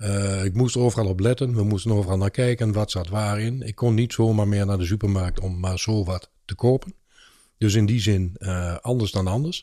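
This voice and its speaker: On a very clean recording with a silent background, a man with a dark, mellow tone and fairly low pitch talks at a moderate pace with fairly even intonation. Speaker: podcast co-host and lunchroom owner. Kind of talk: casual chat. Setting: studio.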